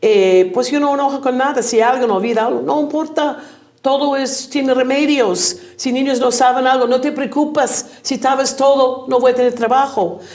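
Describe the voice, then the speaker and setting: Amid noticeable background noise and audible room echo, a woman speaks at a moderate pace in a high pitch with ordinary pitch variation. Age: 70s. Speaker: teacher. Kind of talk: interview.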